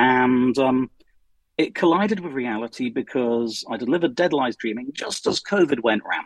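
Medium pitch, moderate pace and ordinary pitch variation in a man's unremarkable speaking voice. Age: 50s. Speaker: science fiction writer. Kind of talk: interview.

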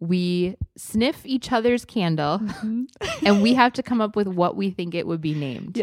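A woman with a Wisconsin accent talks with lively intonation at a moderate pace. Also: medium pitch for a woman. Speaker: podcast co-host. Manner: chatty, enthusiastic.

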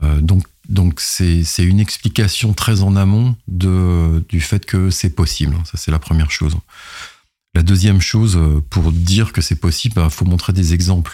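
A man speaks with a very deep, low pitch and a dark, mellow tone. His pace is fairly slow and his pitch variation ordinary. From France, partly raised in Madagascar. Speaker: IT operations executive. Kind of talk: interview. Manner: halting, frequent repetitions.

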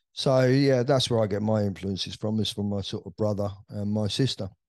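A man talks with a London accent. His intonation stays fairly even. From West London, England. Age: 60s. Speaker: veteran club DJ. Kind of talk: interview storytelling.

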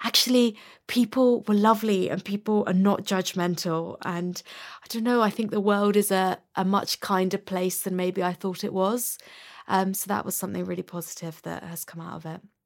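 With a London accent, a woman at a medium pitch speaks at a moderate pace with fairly even intonation and big swings in loudness. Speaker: musician and DJ. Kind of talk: interview.

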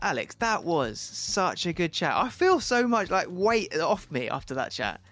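A man speaks at a fairly slow pace with music playing in the background. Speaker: travel podcast co-host. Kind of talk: casual chat.

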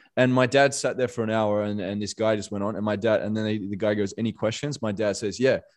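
Against a quiet background, a man of medium pitch speaks with an Australian accent. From Western Australia, Perth. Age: 30s. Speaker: motivational coach. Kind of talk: podcast interview.

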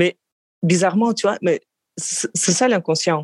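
A woman with a Russian accent at a very slow pace, the sound dry and close with no echo. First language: Russian (speaking French). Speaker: psychoanalyst. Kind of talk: interview testimony. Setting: call. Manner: halting.

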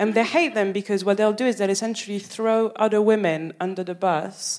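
A woman speaks with a French accent. Her pitch varies in an ordinary way. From France, Paris. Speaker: stand-up comedian. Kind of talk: stand-up. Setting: stage with audience.

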